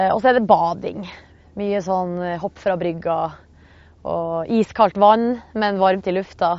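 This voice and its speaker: The speech moves at a very slow pace with long, frequent pauses. The intonation stays fairly even. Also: woman, medium pitch for a woman. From Northern Norway (Hamarøy). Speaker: radio host. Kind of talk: casual chat. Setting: outdoors.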